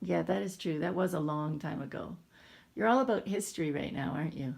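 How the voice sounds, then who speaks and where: This woman's voice sits very deep and low in pitch, with vocal fry running through it. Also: lively intonation. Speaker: parent filming her son. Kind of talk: casual family chat. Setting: home video recording. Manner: mumbling.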